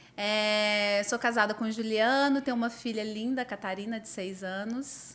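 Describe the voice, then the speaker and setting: A woman has a normal speaking voice, fairly high in pitch. She talks at a moderate pace with big swings in loudness. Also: fairly even intonation. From Minas Gerais, Brazil (Uberaba). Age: 30s. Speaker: architect. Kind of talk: casual chat.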